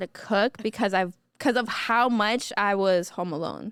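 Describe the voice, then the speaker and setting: In a very clean recording with a silent background and a dry, close sound with no echo, a woman with a normal speaking voice talks at a fairly slow pace with ordinary pitch variation. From South Florida (Broward County), born in Colombia. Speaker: artist. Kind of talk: podcast interview, casual chat. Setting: studio.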